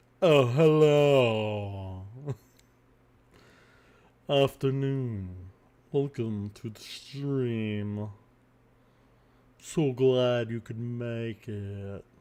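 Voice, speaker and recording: A man puts on a strained character voice at medium pitch with ordinary pitch variation, speaking very slowly with long, frequent pauses and big swings in loudness. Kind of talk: posh, upper-class. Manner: polite and welcoming.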